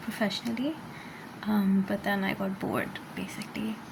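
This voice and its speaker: This is a woman speaking. Background noise is noticeable. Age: 20s. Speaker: video commentator. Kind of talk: casual monologue. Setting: at home, early morning. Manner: halting, many fillers.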